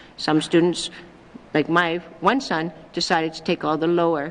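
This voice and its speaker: Speaking at a moderate pace, a woman has a normal speaking voice. Her pitch is fairly low, with ordinary pitch variation. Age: 60s. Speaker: territorial premier. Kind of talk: legislative committee debate. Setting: legislative chamber.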